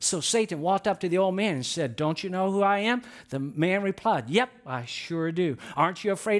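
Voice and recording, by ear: The pitch moves in an ordinary way as the speaker reads aloud in a natural voice.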